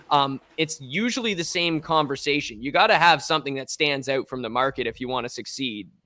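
A man with an Ontario accent talks at a fairly quick pace, his medium-pitched voice bright and sharp with ordinary pitch variation. The recording is very clean, with a silent background. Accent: Canadian (Ontario). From Ontario, Canada (Strathroy). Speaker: musician and NFT artist. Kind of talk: interview.

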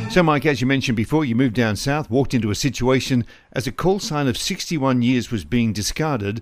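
A man with an ordinary speaking voice talks at a medium pitch and a moderate pace, his intonation lively, on a very clean recording with a silent background. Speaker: podcast host. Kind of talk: interview.

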